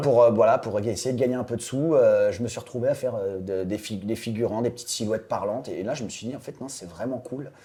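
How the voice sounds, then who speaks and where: At a very fast pace, a man speaks. His tone is dark and mellow. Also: medium pitch for a man, ordinary pitch variation. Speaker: voice actor. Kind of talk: interview answer. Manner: casual, hesitant.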